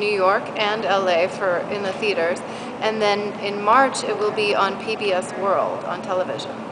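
A woman speaks slowly-ish, at a fairly slow pace, in an American accent with fairly even intonation. Noticeable background noise can be heard. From US Midwest, Milwaukee; Wisconsin. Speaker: documentary film director. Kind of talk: interview. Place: street. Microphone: phone near.

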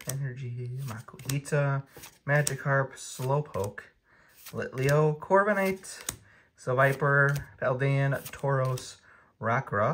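The pace is very slow, with long, frequent pauses. Light background noise can be heard. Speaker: Pokemon card YouTuber. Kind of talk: casual video, opening card packs. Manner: casual, chatty, animated. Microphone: phone near.

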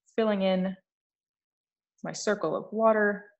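A woman against a quiet background. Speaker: art instructor. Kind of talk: tutorial. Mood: relaxed, upbeat. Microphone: phone near.

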